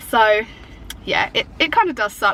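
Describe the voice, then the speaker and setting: Speaking fairly quickly, a woman talks in an English accent. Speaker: YouTuber. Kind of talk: casual chat. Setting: in a car. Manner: chatty.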